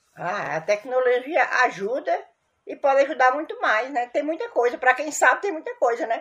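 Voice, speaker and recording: Her pitch leaps across a very wide range as this woman talks at a medium speed. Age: 60s. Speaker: interviewee, grandmother. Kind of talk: recorded testimony. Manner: halting.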